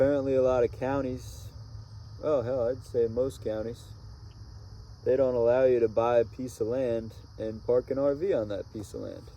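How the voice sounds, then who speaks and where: Speaking with an American accent at a moderate pace, the voice keeps a fairly even intonation and leaves long, frequent pauses. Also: man, medium pitch for a man. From Connecticut, US. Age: 20s. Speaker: RV traveler vlogger. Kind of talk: casual vlog monologue. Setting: outdoors at sunset.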